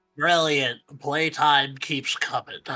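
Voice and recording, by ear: This put-on character voice is nasal and low-to-middle in pitch, delivered in a monotone, flat intonation.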